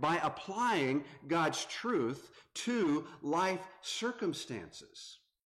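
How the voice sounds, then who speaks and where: In a Southern US accent, a man talks at a very slow pace and a high pitch with very wide pitch swings, and audible room echo can be heard. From North Carolina. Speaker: visiting preacher. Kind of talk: sermon.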